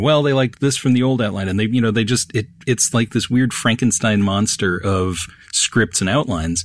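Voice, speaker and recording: This is an unremarkable speaking voice with lively intonation. The pace is fairly quick. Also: man. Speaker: theater person. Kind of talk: casual chat.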